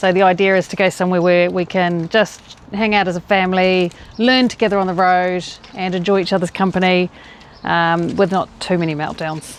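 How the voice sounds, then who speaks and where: Speaking at a fairly quick pace, a woman with a New Zealand accent holds a medium pitch in a monotone, flat intonation. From New Zealand, Rotorua. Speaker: family cycling vlogger, parent. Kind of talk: casual chat.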